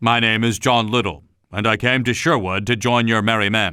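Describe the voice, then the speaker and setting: This is a man doing a put-on character voice. His loudness stays very even. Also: medium pitch for a man, moderate pace, ordinary pitch variation. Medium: read story.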